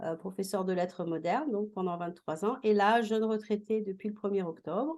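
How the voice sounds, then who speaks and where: A woman's normal speaking voice, medium in pitch, with ordinary pitch variation and a moderate pace. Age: 60s. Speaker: retired teacher and school coach. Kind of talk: interview testimony.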